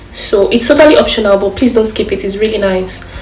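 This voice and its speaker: Against noticeable background noise and audible room echo, a woman talks at a fairly high pitch. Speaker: cooking youtuber. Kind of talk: cooking tutorial. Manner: fast; casual.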